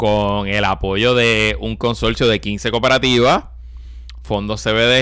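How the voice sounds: A man talks at a slow pace with a fairly low pitch. His tone is fairly bright.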